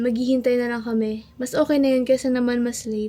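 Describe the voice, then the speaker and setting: The woman's pitch is high. She is soft-spoken. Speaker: vlogger. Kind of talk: casual vlog chat. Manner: soft-spoken, lowered voice.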